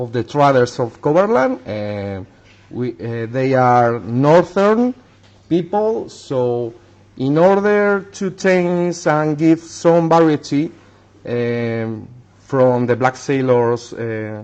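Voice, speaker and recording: At a very slow pace, a man with a non-native accent speaks at a medium pitch with lively intonation. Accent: non-native English speaker. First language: Spanish. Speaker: miniature painter. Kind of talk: tutorial. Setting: livestream. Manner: halting.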